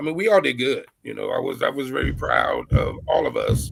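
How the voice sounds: A man with a medium pitch speaks at a fairly quick pace in a gravelly, raspy voice with vocal fry, a fairly bright tone and very wide pitch swings.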